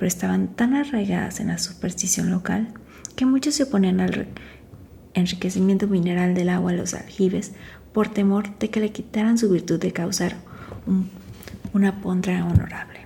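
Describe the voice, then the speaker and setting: A woman's somewhat breathy, dark, mellow voice of medium pitch, moderate in pace, with ordinary pitch variation and long, frequent pauses. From Mexico. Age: 40s. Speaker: makeup artist. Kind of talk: ASMR book reading. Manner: soft-spoken, quiet.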